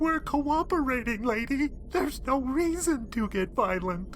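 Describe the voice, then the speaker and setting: Over clear background noise, a put-on character voice that sounds female speaks in a nervous tone at a high pitch. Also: moderate pace. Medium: audio drama. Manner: nervous, babbling.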